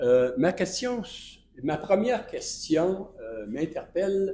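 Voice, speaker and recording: With audible room echo, a dark, mellow voice moves at a very slow pace through very wide pitch swings. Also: man. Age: 70s. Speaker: citizen at council meeting. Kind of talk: public question period. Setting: municipal council meeting. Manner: halting, many hesitations.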